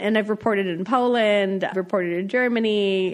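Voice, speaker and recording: A woman with an American accent speaks at a fairly quick pace, her medium pitch showing ordinary variation. Hers is an unremarkable speaking voice. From US Midwest, North Dakota. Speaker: foreign correspondent. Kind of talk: interview. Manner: conversational, casual.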